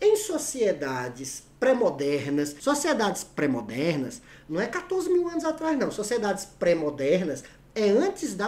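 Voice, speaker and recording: At a fairly slow pace, the voice carries an animated tone over noticeable background noise. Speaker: teacher. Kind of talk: lecture. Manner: casual, animated.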